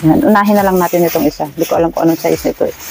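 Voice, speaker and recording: Noticeable background noise accompanies a woman speaking. Her pitch is fairly low, with ordinary variation. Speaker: online seller, vlogger. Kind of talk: unboxing vlog. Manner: soft-spoken.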